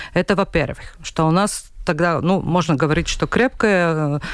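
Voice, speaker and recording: On a very clean recording with a silent background, a woman with a Latvian accent speaks at a moderate pace and fairly low pitch, with ordinary pitch variation. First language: Latvian (speaking Russian). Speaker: regional newspaper editor. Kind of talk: radio panel discussion. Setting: radio studio. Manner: halting.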